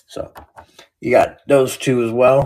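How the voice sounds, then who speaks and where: Somewhat breathy, a man speaks with an American accent. His pace is fairly slow. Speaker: card seller streamer. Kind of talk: live stream card sale. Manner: casual, chatty.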